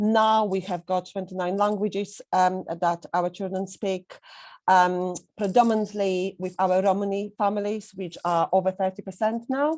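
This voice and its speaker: A woman's medium-pitched voice with a Polish accent, fairly even intonation and a moderate pace, on a very clean recording with a silent background. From Poland. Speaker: head teacher. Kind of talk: presentation.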